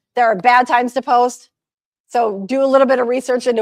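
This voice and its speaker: A woman talks very fast with a high pitch and fairly even intonation. The sound is dry and close, with no echo. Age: 50s. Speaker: social media consultant. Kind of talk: presentation.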